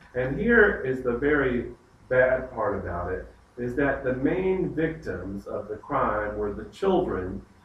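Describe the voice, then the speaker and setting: A man at medium pitch with an American accent, fairly slow pace and lively intonation, in audible room echo. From US South. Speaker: pastor leading Bible study. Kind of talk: Bible study lecture. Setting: church group with live audience.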